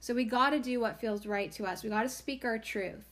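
There is a normal speaking voice from a woman, fairly high in pitch with fairly even intonation. The recording is very clean, with a silent background. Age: 40s. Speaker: podcast host, herbalist and oracle card reader. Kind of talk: casual spiritual monologue.

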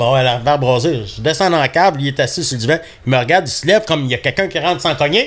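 A man's very fast, fairly high-pitched speech with lively intonation, in a Quebec accent. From Labrador, Canada. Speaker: hunting dog breeder. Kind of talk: casual interview.

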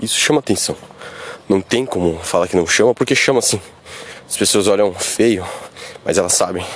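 With noticeable background noise behind him, a man of fairly low pitch speaks at a moderate pace with ordinary pitch variation and long, frequent pauses. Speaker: bodybuilding youtuber. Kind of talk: casual vlog monologue. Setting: outdoors on the street.

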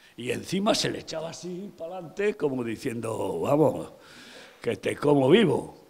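At a moderate pace, a man with a fairly high pitch speaks with very wide pitch swings and big swings in loudness over noticeable background noise. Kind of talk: sermon. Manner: animated, vivid storytelling, repeating names for emphasis; conversational, addressing listeners directly.

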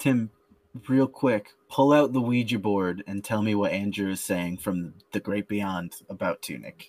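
A man's fairly low voice at a fairly slow pace, with ordinary pitch variation, an ordinary speaking voice, and a dry, close sound with no echo. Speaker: podcast host. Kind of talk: casual banter podcast chat.

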